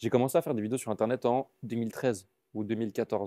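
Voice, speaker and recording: With a dark, mellow tone, a man talks at a very fast pace in fairly even intonation, the sound dry and close with no echo. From Belgium. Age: 20s. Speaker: comedian. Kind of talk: casual interview. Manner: casual, hesitant with many fillers.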